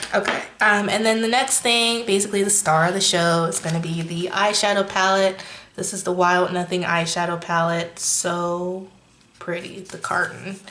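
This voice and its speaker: Moderate pace from a woman of medium pitch, fairly even intonation, audible room echo, and noticeable background noise. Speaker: beauty youtuber. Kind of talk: makeup review tutorial.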